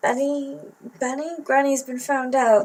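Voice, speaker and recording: She speaks with a British accent. Her pitch is high. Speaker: YouTuber reading a children's book aloud. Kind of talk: reading aloud. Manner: casual with many fillers.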